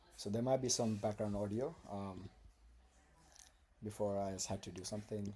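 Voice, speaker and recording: A man speaks at a moderate pace in a fairly low, dark, mellow voice. He is somewhat breathy, and his intonation stays fairly even. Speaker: vlogger. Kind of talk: casual monologue. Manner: halting.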